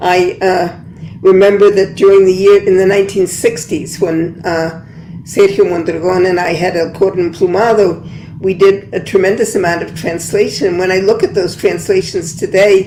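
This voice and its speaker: Monotone, flat intonation at a moderate pace, with an American accent and noticeable background noise. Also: woman, medium pitch for a woman. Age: 80s+. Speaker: poet and translator. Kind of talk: panel discussion.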